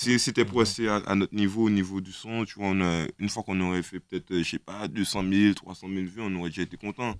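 With an ordinary speaking voice, a man talks at a fairly quick pace with hardly any pauses, fairly even intonation and a fairly low pitch, in a dry sound with no echo and a quiet background. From Guadeloupe. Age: 20s. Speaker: rapper; guest. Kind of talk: casual interview. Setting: radio studio. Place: studio. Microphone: studio mic.

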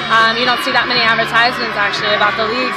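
Crowd noise can be heard behind a woman speaking. The sound is dry with no echo. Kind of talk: interview answer. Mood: upbeat, pleased after a win. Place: stadium. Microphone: phone near.

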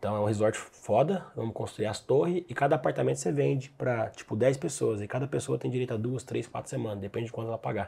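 A man's dark, mellow voice with vocal fry, medium pitch, very wide pitch swings, a very fast pace and hardly any pauses. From Brazil, Goiás (Goiânia). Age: 20s. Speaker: digital marketing entrepreneur. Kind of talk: casual chat.

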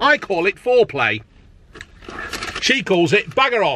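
A man at a moderate pace, dry sound with no echo, and light background noise. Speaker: food reviewer. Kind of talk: casual vlog chat. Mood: jokey, chatty. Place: car. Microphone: phone near.

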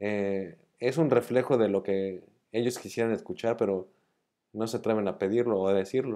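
At a moderate pace, a man speaks with a dark, mellow tone and a fairly low pitch. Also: ordinary pitch variation, quiet background. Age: 40s. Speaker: illness survivor vlogger; vlogger. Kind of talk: monologue to camera, partly read argument. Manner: halting, with repeated words. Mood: calm, reflective. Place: home room. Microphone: earbuds.

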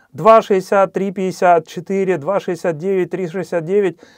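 In a quiet background, a man speaks with a high pitch. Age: 40s. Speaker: real estate investor, channel host; channel host. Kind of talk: educational presentation with slides. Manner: frequent hesitations (э). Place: studio. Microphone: lapel.

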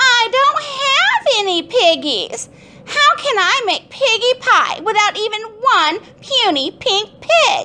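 Using a put-on character voice, a woman speaks at an extremely high, shrill pitch and a fairly slow pace. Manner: screeching, upset.

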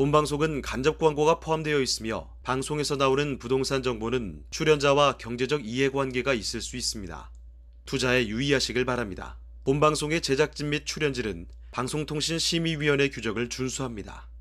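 A man talks in a normal speaking voice at a medium pitch and fairly quick pace, with ordinary pitch variation, on a very clean recording with a silent background. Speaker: announcer. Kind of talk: scripted disclaimer.

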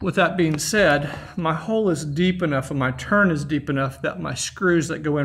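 Pitch moves in an ordinary way as this man talks. His speed stays moderate. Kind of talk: tutorial. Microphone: phone near.

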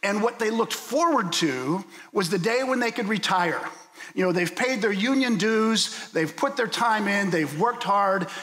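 A man with a high voice projects loudly with lively intonation. Noticeable background noise and audible room echo surround him. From US, Pittsburgh. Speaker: guest preacher. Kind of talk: sermon. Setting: church.

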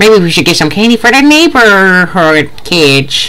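In a put-on character voice, a female-sounding speaker talks at a medium pitch and a moderate pace against noticeable background noise. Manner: warm, grandmotherly.

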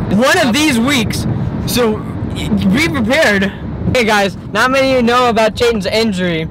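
The speech moves at a moderate pace with long, frequent pauses. The sound is dry with no echo, and there is noticeable background noise. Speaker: vlogger holding camera. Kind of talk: casual vlog chat. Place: car. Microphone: phone near.

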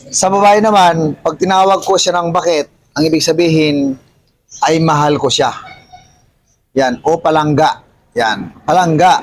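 This voice, with an Ilocano accent, moves at a fairly slow pace with long, frequent pauses. Its loudness stays very even. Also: man, high pitch for a man, ordinary pitch variation. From Ilocos region, Philippines. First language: Ilocano (speaking Tagalog). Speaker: vlogger. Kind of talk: casual explainer vlog.

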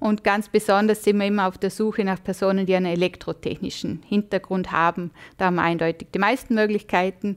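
A woman speaks at a moderate pace with ordinary pitch variation against a quiet background. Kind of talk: interview answer. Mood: friendly, smiling. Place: studio.

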